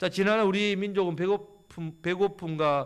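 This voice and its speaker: A man's high-pitched voice comes through on a very clean recording where the background is silent. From Gyeongsang region, South Korea. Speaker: pastor. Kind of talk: sermon. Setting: church. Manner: fast.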